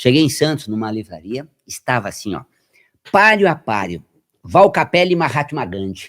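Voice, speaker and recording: The voice makes very wide pitch swings. Pauses are long and frequent. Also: man, medium pitch for a man, moderate pace, big swings in loudness, very clean recording, silent background. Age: 60s. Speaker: health metaphysics researcher and radio presenter. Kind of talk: podcast interview. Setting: podcast studio. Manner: animated.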